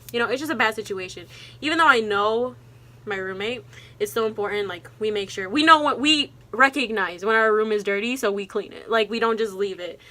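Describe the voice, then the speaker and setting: Loud and fairly quick, a woman talks in a fairly high pitch with ordinary pitch variation and a bright, sharp tone. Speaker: college student vlogger. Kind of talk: casual vlog talk to camera. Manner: fast.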